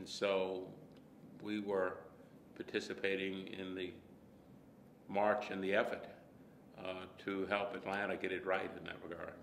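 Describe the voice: In audible room echo, a man with an American accent speaks at a fairly slow pace, leaving long, frequent pauses. His voice is low in pitch with vocal fry, a fairly bright tone and little pitch movement.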